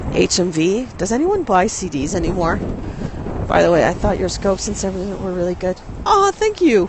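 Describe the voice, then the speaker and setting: A woman speaks over noticeable background noise. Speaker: live streamer. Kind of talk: casual talk to camera. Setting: outdoors, windy street.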